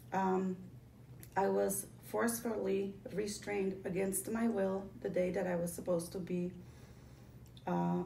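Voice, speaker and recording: Slow-paced speech from a woman, very even in loudness, with long, frequent pauses and audible room echo. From Poland, moved to Connecticut as a child. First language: Polish. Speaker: former psychiatric patient telling her story. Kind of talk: testimony. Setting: office meeting. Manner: halting, many fillers.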